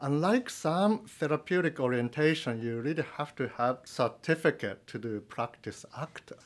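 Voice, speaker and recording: A man with a Japanese accent, fairly high pitch, lively intonation and a moderate pace. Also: big swings in loudness. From Japan (rural Nagano). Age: 40s. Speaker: psychology professor. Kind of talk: interview.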